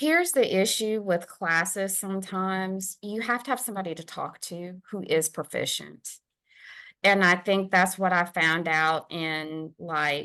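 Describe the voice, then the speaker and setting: The speaker has a Southern US accent and a bright, sharp tone, with big swings in loudness. The pace is fairly slow, pitch variation is ordinary, and the background is quiet. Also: woman, medium pitch for a woman. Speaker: podcast co-host. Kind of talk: casual chat.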